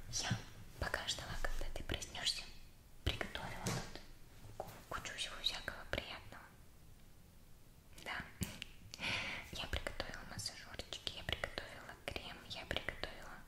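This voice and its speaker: A soft-spoken woman whispers at a moderate pace. She leaves long, frequent pauses. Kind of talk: soft roleplay talk to viewer. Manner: soft, gentle ASMR near-whisper. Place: home room. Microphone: phone near.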